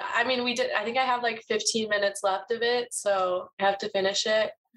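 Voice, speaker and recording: In an ordinary speaking voice, a woman talks at a fairly quick pace, her pitch fairly high with ordinary pitch variation. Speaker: podcast co-host, college student. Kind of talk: casual chat.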